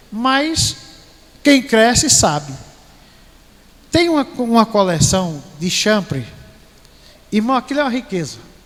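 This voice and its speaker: With noticeable background noise behind him, a man talks at a fairly slow pace in a high pitch that makes very wide swings. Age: 60s. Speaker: pastor. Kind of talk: sermon.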